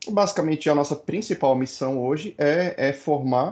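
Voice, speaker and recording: Lively intonation from a man in a quiet background. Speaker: data science educator, founder of a school. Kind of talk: online lecture. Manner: fast.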